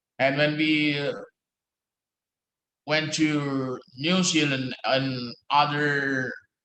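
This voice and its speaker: At a very slow pace with long, frequent pauses, a man with an American accent speaks in a monotone, flat way at a fairly high pitch, with audible room echo. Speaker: law professor. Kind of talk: lecture. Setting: office. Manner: halting.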